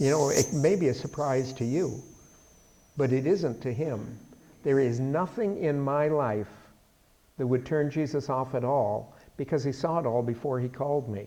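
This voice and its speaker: A man's dark, mellow voice at a fairly high pitch, moderate in pace with ordinary pitch variation and long, frequent pauses. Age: 70s. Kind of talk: bible study lecture. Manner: conversational.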